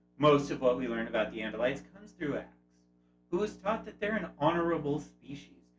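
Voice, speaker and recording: Over music in the background, a man speaks fairly quickly with lively intonation. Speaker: YouTube host. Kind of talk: video essay narration.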